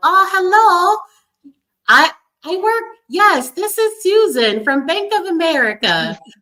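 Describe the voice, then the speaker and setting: A squeaky, female-sounding put-on character voice sits at an extremely high pitch. It moves at a fairly slow pace with long, frequent pauses. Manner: feigned, nervous.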